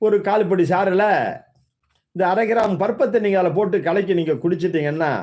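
This man holds a very even loudness while speaking at a high pitch. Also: ordinary pitch variation. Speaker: Siddha medicine teacher. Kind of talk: tutorial.

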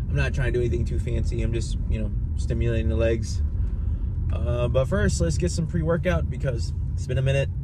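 A man talks fairly quickly with ordinary pitch variation while noticeable background noise runs underneath. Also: dry sound with no echo. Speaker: vlogger. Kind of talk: casual vlog chat. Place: car. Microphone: phone near.

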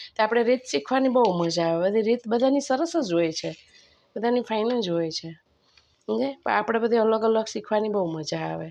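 Against a quiet background, a woman with a dark, mellow tone and a fairly high pitch speaks with lively intonation. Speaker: cooking video host. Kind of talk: cooking tutorial. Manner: strained, pushing the voice out.

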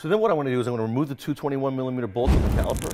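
A man's voice with ordinary pitch variation, faint music playing in the background. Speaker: mechanic show host. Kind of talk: tutorial. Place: garage.

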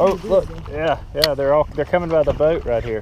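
A man at a moderate pace, with clear background noise. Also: fairly high pitch for a man, ordinary pitch variation.

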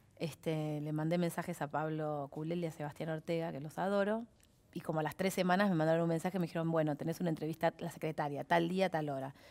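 A woman speaks very fast in a Rioplatense accent. Her pitch sits fairly low, with fairly even intonation. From Argentina. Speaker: actress. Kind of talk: casual chat. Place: studio. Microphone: headset.

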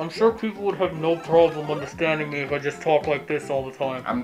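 A robotic, put-on character voice at middle pitch moves at a fairly quick pace over clear music in the background.

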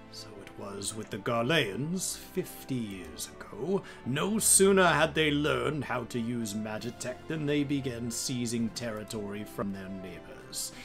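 With clear music in the background, a man performs a put-on character voice at medium pitch and a fairly slow pace. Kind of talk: dramatic game character voice-acting. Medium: game stream. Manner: gruff, sardonic, then solemn.

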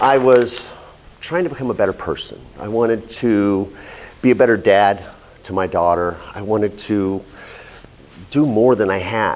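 A fairly low-pitched man at a moderate pace, with ordinary pitch variation, long, frequent pauses and light background noise. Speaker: speaker. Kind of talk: prepared speech. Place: meeting room.

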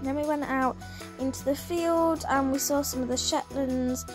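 Woman speaking at a moderate pace with music in the background. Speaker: vlogger narrating a farm visit. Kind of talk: casual vlog narration.

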